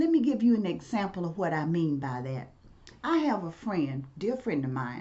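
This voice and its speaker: Noticeable background noise and audible room echo surround a woman with a Mississippi accent. She speaks at a fairly low pitch with very wide pitch swings. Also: moderate pace. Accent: US Southern, Mississippi. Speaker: professor and civil rights activist. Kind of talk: storytelling lecture.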